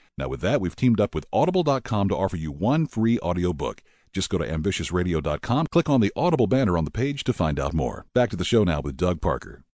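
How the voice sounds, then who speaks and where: A man's very deep, low voice with vocal fry and very wide pitch swings, very fast with hardly any pauses, dry and close with no echo, over a quiet background. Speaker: announcer. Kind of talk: scripted announcement and ad reads.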